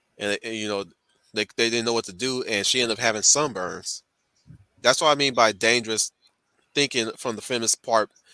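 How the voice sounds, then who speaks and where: A man with a Southern US accent speaks at a fairly quick pace and medium pitch, with fairly even intonation but long, frequent pauses. His tone is bright and sharp in a very clean recording with a silent background, the sound dry and close with no echo. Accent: choppy Southern. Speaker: channel host, commentator. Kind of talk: casual group discussion. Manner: halting, frequent repetitions.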